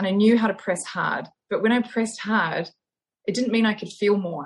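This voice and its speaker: A woman with a New Zealand accent speaks with a somewhat breathy voice. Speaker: osteopath and yoga instructor. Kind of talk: interview. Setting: online call.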